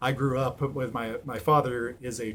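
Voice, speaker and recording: A man talks fairly slowly at a medium pitch. His voice is somewhat breathy. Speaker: thrift reseller vlogger. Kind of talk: casual haul video monologue. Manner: halting, many ums.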